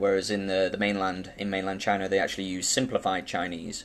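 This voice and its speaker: In a British accent, a man speaks at a fairly quick pace and a fairly low pitch. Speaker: banknote collector and video host. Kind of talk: casual show-and-tell tutorial. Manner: fast; hesitant, many fillers.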